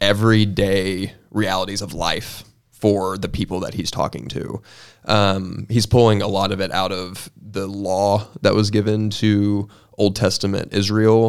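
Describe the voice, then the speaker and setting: On a very clean recording with a silent background, a man speaks at a fairly slow pace in a fairly low pitch with monotone, flat intonation. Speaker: college ministry podcast co-host. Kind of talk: casual chat and Bible discussion.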